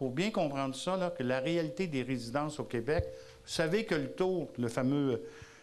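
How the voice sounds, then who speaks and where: A man speaks with lively intonation, and room echo is audible around his voice. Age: 60s. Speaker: advocacy group president. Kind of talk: conference talk. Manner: loud.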